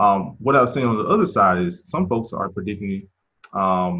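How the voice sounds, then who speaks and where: A man has an ordinary speaking voice with a fairly low pitch and an American accent. He talks at a moderate pace with lively intonation. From US South, Mississippi. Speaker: real estate agent and investor. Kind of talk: interview.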